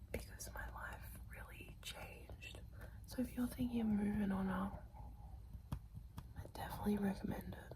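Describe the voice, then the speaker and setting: A soft-spoken woman whispers at a moderate pace, with long, frequent pauses, big swings in loudness, and noticeable background noise. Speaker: ASMR creator. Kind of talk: ASMR whispered talk to camera. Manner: soft, whispered, intimate.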